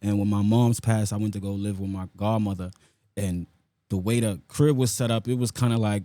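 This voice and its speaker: With an American accent, a man talks at a fairly quick pace in a fairly low pitch, his tone dark and mellow and his intonation fairly even. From New York, South Bronx. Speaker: rapper. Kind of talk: interview.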